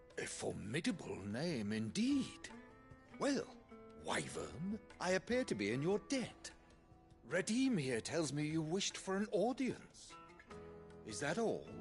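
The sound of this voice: A man does a put-on character voice with vocal fry, a fairly high pitch and very wide pitch swings, at a slow pace. Faint music plays in the background.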